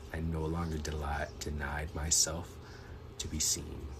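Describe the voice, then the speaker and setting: Over noticeable background noise, a man speaks at a very deep, low pitch with monotone, flat intonation. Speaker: poet. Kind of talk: poetry reading.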